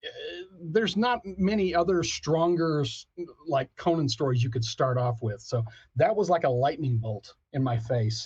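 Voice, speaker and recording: A man with an American accent speaks at a moderate pace, his pitch fairly high. His voice is somewhat breathy and swings very widely in pitch. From Texas, Abilene. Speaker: author and pop culture critic. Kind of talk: interview. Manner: animated.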